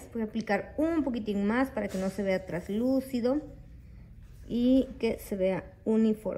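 Fairly high in pitch yet dark and mellow in tone, a woman's somewhat breathy voice moves at a fairly slow pace. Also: ordinary pitch variation. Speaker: nail technician and beauty youtuber. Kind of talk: product review tutorial. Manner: chatty, friendly.

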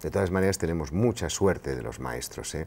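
With vocal fry and a very deep, low pitch, a man's voice swings very widely in pitch over light background noise. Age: 60s. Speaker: pediatrician and sleep specialist; interviewee. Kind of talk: interview. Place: studio. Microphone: lapel.

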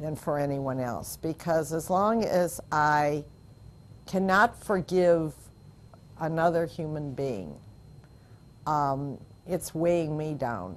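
Using ordinary pitch variation, a woman with a very deep, low pitch speaks at a very slow pace, leaving long, frequent pauses. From US Midwest, Upper Peninsula of Michigan. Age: 70s. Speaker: rabbi's wife sharing life story. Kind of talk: oral history interview. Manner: reflective, with frequent hesitations. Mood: reflective, warm, candid. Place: studio. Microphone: lapel.

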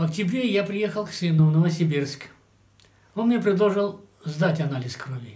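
A man with a high pitch and ordinary pitch variation, at a fairly slow pace, against a quiet background. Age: 70s. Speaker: customer giving product testimonial. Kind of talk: testimonial to camera. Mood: calm, satisfied. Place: studio.

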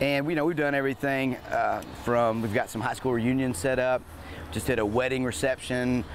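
With light background noise and a dry sound with no echo, a man talks at a fairly quick pace. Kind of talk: interview answer. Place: waterside. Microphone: lapel.

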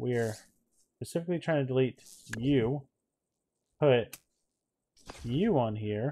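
A man speaks at a fairly slow pace in a dark, mellow tone, with ordinary pitch variation and long, frequent pauses. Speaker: gaming YouTuber. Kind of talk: let's play commentary. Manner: animated. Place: home room. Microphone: headset.

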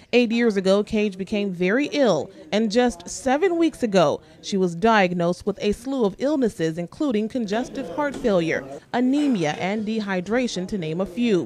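Against noticeable background noise, a woman talks with lively intonation and hardly any pauses. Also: medium pitch for a woman, moderate pace. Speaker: TV news reporter. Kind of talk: TV news package narration.

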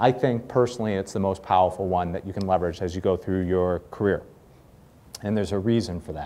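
Very fast male speech, very deep and low, with a dark, mellow tone and ordinary pitch variation. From Boston. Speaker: corporate speaker and networking evangelist; speaker, networking evangelist. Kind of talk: guest talk to students. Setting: live talk to small audience. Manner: friendly, casual, humorous. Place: classroom.

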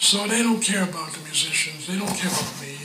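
There is noticeable background noise. The speaker is a man. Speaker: session bass player. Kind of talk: interview answer. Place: home room.

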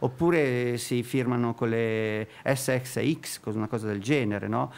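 The pitch shows ordinary variation. It is a man talking. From Milan, northern Italy. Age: 60s. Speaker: street sign artist; guest. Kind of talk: interview; interview answer. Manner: halting. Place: studio. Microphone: studio mic.

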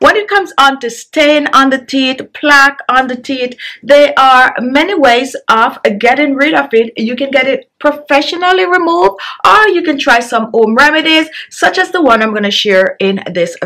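Against a quiet background, a woman projects her voice in a bright, sharp tone. Her pitch swings very widely. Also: moderate pace. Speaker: beauty channel host. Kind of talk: tutorial. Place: home room. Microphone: phone near.

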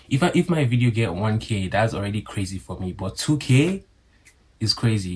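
A man talks at a fairly low pitch with lively intonation. His voice is somewhat breathy. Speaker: vlogger. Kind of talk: casual vlog chat. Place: home room. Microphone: phone near.

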